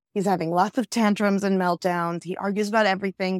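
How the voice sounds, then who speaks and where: In a New York accent, a woman speaks fairly quickly at a medium pitch with monotone, flat intonation, in a very clean recording with a silent background and a dry, close sound with no echo. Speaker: app founder and mother. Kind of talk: casual interview.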